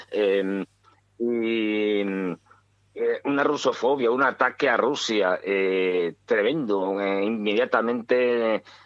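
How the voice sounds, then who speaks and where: His voice sits at a medium pitch, and the man varies it in an ordinary way. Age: 60s. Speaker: political commentator. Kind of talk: radio talk show discussion. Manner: halting, many fillers.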